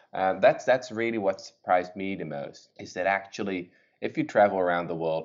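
A man with a Dutch accent, very deep, low pitch, lively intonation and a fairly quick pace. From Netherlands. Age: 20s. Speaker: author and historian. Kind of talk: interview.

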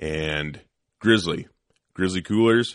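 Against a quiet background, a man talks at a very slow pace in a bright, sharp tone with ordinary pitch variation. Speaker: podcast host, firearms instructor. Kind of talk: casual chat. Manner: mumbling, doesn't open mouth much.

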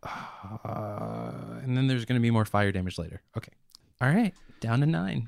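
Here a man talks in an ordinary speaking voice at a fairly low pitch. His pace is moderate, with ordinary pitch variation. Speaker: tabletop RPG player. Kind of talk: tabletop RPG player narrating his character's actions, in-character.

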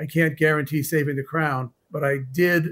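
In a normal speaking voice, a man talks at a fairly high pitch with fairly even intonation. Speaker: dentist specializing in root canals. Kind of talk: courtroom testimony.

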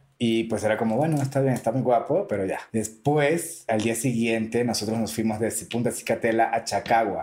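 A man talks at a moderate pace in a medium pitch, his pitch varying in an ordinary way and hardly any pauses breaking his speech. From Venezuela. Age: 30s. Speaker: drag queen and entrepreneur. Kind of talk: casual interview. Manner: animated.

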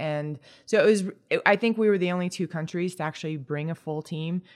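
In a very clean recording with a silent background, a woman with a normal speaking voice talks at a fairly quick pace with ordinary pitch variation. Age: 40s. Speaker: retired pro cyclist and coach. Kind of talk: casual chat.

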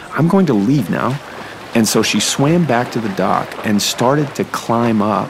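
With lively intonation, a man speaks at a fairly slow pace amid audible room echo and noticeable background noise. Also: medium pitch for a man. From US Northeast, New Hampshire. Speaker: navy photographer. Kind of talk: personal storytelling.

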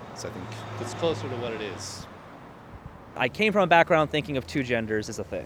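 A man talks fairly quickly with ordinary pitch variation while noticeable background noise carries on behind him. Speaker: guest. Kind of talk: casual chat.

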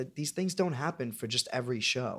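In an American accent, a man with a medium pitch speaks with lively intonation and a plain, everyday voice. The recording is very clean against a silent background. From New York, Staten Island. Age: 20s. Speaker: Broadway actor and podcast co-host. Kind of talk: casual chat.

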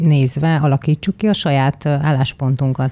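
A woman speaks at a moderate pace, her dark, mellow tone captured in a dry, close sound with no echo. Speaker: podcast host. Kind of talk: interview.

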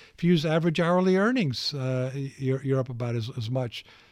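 On a very clean recording with a silent background, a man speaks at a moderate pace. His pitch is fairly high, with ordinary pitch variation. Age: 60s. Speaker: economist and investment strategist. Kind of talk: interview. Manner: halting, many fillers and repetitions.

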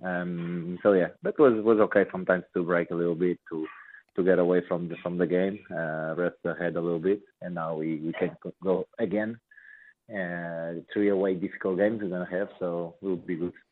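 A man's very deep, low voice in a Portuguese accent, with monotone, flat intonation at a moderate pace. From Portugal. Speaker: football player. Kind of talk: radio interview. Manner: halting.

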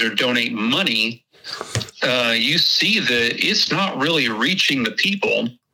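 A man speaks with a Texas accent at a medium pitch. His pitch varies in an ordinary way. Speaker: hunting website creator, guest. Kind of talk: casual interview chat.

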